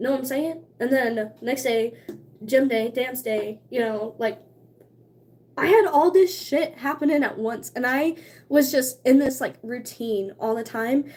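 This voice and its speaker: Animated in tone, a woman at a high pitch speaks at a fairly slow pace with ordinary pitch variation. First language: Cherokee (largely forgotten). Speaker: streamer. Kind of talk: casual chat.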